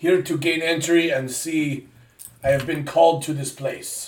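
Using a put-on character voice, a man speaks in a fairly high pitch. The delivery is monotone and flat, at a moderate pace. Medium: actual play.

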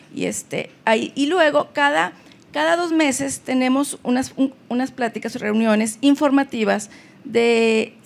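Her pitch shows ordinary variation. The speaker is a woman. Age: 50s. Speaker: family counselor. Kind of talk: personal testimony in interview. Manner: halting, repeats words.

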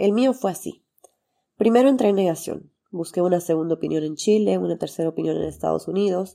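Her fairly low voice has a dark, mellow tone, as this woman talks at a fairly quick pace with ordinary pitch variation. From Bolivia, Santa Cruz. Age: 30s. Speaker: podcast host, doctor and mother. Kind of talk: personal testimony monologue.

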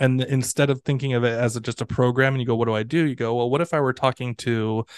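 A man at medium pitch and fairly quick pace, an ordinary speaking voice with fairly even intonation, dry and close with no echo over a quiet background. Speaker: ESL professor. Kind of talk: interview conversation. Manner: casual, laughing, conversational.

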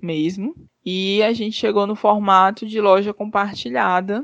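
A woman speaks at a fairly slow pace with a medium pitch. Hers is a plain, everyday voice. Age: 30s. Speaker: fashion designer and entrepreneur. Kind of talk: interview.

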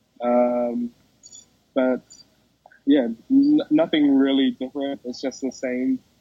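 Very slowly and with long, frequent pauses, a man with a New Zealand accent talks in a monotone, flat delivery at a medium pitch. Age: 20s. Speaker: esports champion. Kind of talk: interview. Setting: in a mall. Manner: halting.

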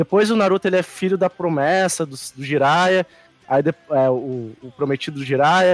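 A man with an unremarkable speaking voice talks at a moderate pace, his pitch fairly high with ordinary variation. His loudness swings widely, and the sound is dry and close with no echo. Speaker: guest podcaster. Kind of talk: casual chat about anime.

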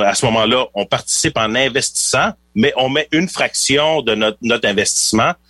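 Speaking at a moderate pace, a man has a plain, everyday voice at medium pitch. The sound is dry and close, with no echo. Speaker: financial planner. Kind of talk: radio interview.

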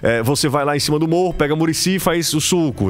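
A man with a Cearense accent amid noticeable background noise. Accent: Cearense Brazilian Portuguese. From Ceará, Brazil (Aracati / Majorlândia). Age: 30s. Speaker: sports journalist. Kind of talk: casual interview chat. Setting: studio.

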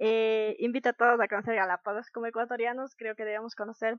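With a fairly high pitch, the woman gets her words out at a fairly quick pace. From Ecuador, Ambato (highlands). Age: 18. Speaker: scout rover, volunteer. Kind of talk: casual interview. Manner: animated.

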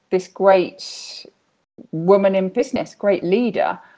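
Here a woman speaks with a British accent. Her pace is very slow. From Britain. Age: 30s. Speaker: life coach. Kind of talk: interview.

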